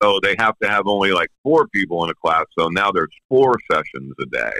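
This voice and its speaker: Fairly quick male speech with vocal fry, a fairly low pitch and lively intonation. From Pennsylvania. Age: 60s. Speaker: professional drummer. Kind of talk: interview. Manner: casual.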